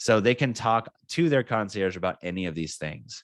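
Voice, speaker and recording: A man's upbeat tone at a fairly quick pace. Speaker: software trainer. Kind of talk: product tutorial webinar. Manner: fast; casual, upbeat.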